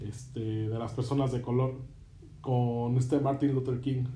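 In a room with audible echo, a man speaks at a medium pitch and a fairly slow pace, his intonation monotone and flat. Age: 20s. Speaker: podcast host. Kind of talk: interview.

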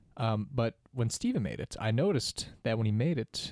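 With a plain, everyday voice, a man talks at a medium pitch. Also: very clean recording, silent background. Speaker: student teacher and podcast co-host. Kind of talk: casual chat. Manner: joking, playful.

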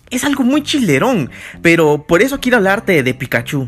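Very wide pitch swings mark this man's speech. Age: 20s. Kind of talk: casual devotional monologue. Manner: animated.

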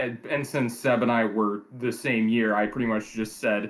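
Speaking at a moderate pace in an American accent, a man with a medium pitch is heard in a very clean recording with a silent background. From US Midwest. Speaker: guest, team co-general manager in a simulated baseball league. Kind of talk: casual chat.

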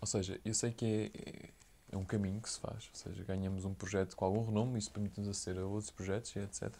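A man talks at a very fast pace in a fairly low voice. His tone is dark, mellow and somewhat breathy. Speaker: podcast host. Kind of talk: interview.

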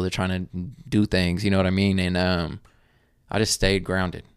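A man speaks at a fairly quick pace in an ordinary speaking voice, his pitch fairly low. The recording is very clean, with a silent background. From Oklahoma. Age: 20s. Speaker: real estate investor. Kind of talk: casual chat.

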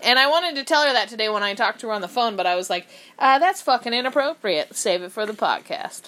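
Loud and fairly high-pitched, a woman speaks at a very fast pace with very wide pitch swings. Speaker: podcast co-host. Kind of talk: casual chat. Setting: studio.

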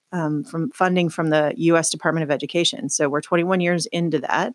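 A woman with an American accent and a normal speaking voice, fairly low-pitched, with ordinary pitch variation at a moderate pace, in a dry, close sound with no echo. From southern Oregon, US. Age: middle-aged. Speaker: nonprofit CEO. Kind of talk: casual interview chat. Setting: her office.

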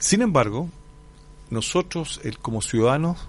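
A man's voice with ordinary pitch variation. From Chile, Curicó. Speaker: history professor. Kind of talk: radio interview. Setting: radio studio.

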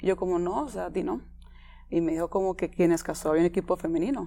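Speaking at a fairly quick pace, a woman talks with a Costa Rican accent. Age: 20s. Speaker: footballer. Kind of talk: interview.

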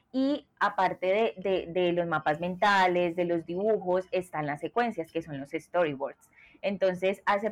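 With a plain, everyday voice, a woman talks at a fairly slow pace in a medium pitch. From Colombia. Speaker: product designer. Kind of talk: interview.

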